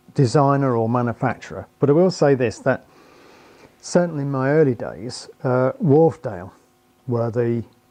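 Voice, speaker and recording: A man with a British accent, medium pitch, ordinary pitch variation, a dark, mellow tone and a moderate pace. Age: 60s. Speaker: loudspeaker driver designer. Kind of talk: interview answer. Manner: halting, many fillers and repetitions.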